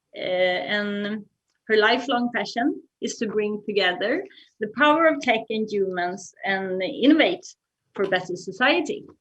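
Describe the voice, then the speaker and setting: In a Swedish accent, a woman speaks at a fairly slow pace with a fairly high pitch and lively intonation. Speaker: moderator, non-profit general secretary. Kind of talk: panel discussion. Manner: halting.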